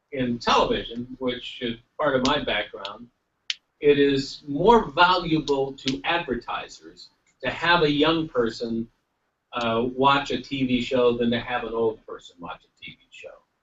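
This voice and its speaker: With an unremarkable speaking voice, a man talks at a fairly slow pace and medium pitch, showing ordinary pitch variation and big swings in loudness. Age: 60s. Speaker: congressman and former television executive. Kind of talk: panel speech.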